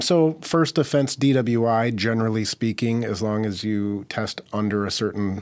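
A normal speaking voice with an American accent carries ordinary pitch variation. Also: man. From Minnesota (Minneapolis). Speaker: criminal defense attorney. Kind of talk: interview.

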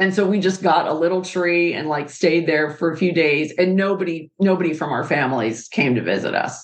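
In a plain, everyday voice, a woman with an American accent talks at a fairly quick pace and a fairly low pitch with ordinary pitch variation. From Pittsburgh, US. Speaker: podcast host, architect. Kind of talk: casual chat; reading aloud.

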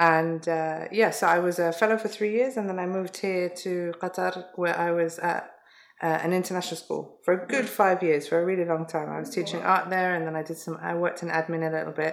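A woman with a London accent talks at a fairly quick pace. Her voice is fairly low with fairly even intonation. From London, England. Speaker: educator. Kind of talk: interview.

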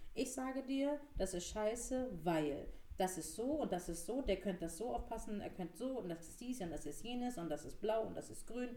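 Amid audible room echo and noticeable background noise, a woman speaks at a moderate pace. Her fairly high voice has lively intonation. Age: 30s. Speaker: marketing manager. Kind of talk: casual chat.

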